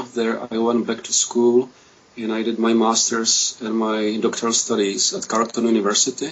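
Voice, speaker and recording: With a Czech accent, the speaker talks at a moderate pace in a monotone, flat intonation over noticeable background noise. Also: man, medium pitch for a man. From Czechoslovakia. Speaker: political scientist. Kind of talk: self-introduction on a panel.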